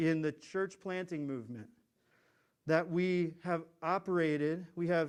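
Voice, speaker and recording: A man speaks with an American accent and a fairly high pitch, at a moderate pace. The recording is very clean, with a silent background. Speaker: pastor. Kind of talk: sermon. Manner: halting.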